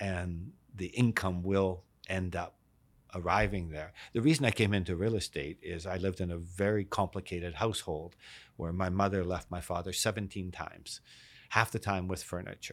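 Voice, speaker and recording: In a western Canadian accent, a man speaks with a very deep, low pitch and fairly even intonation at a moderate pace. The recording is very clean, with a silent background. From Canada, East Vancouver. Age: 60s. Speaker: real estate marketing executive. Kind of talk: interview.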